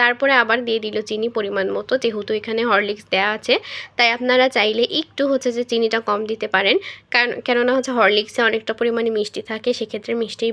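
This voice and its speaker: Her voice is fairly high-pitched, and this woman speaks with monotone, flat intonation. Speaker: cooking vlogger. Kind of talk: voiceover narration of a recipe video.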